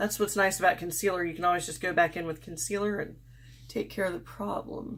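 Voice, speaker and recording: A woman speaks at a very fast pace with vocal fry. Her pitch is fairly low, with ordinary variation. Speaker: beauty vlogger. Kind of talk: makeup tutorial. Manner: casual, unscripted.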